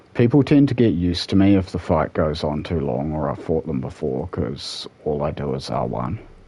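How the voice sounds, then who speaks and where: A man speaks at a very deep, low pitch with vocal fry. His pace is moderate and his intonation lively. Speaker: gaming streamer. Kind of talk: live gameplay commentary. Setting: at home, late night stream. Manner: quieter, subdued after being told.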